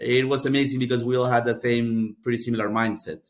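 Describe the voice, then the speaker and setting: A man speaks very fast. He has a Spanish accent. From Costa Rica. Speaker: MBA graduate. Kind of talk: podcast interview.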